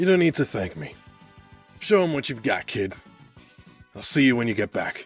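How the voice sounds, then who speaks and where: A man speaks in a put-on character voice at a moderate pace. He leaves long, frequent pauses over faint background music. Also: medium pitch for a man. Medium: read story. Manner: blunt, protective.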